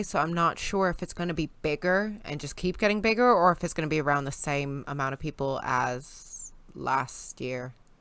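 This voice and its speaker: A woman with an American accent speaks with a very deep, low pitch and ordinary pitch variation. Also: hardly any pauses. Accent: sounds American. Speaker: guest co-host. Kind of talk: casual chat.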